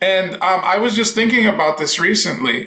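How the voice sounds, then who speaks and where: This man speaks in a raised, projected voice that sits high for a man, with a Spanish accent. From Dominican Republic. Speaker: voice teacher. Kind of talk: casual chat.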